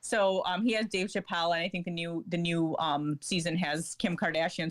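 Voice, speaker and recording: At a fairly quick pace, a woman talks in an ordinary speaking voice, fairly low in pitch, with fairly even intonation. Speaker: journalist. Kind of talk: casual chat.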